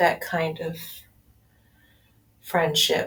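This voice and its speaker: A woman talks very slowly in a somewhat breathy voice. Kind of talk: casual audio-only talk, personal update. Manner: low key.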